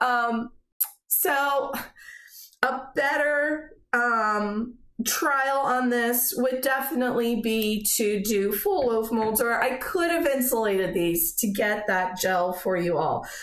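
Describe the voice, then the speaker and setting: A woman speaks very slowly in a high voice with lively intonation and very even loudness. Audible room echo surrounds her. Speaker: soap-making channel host. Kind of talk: tutorial. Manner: casual, filler-heavy.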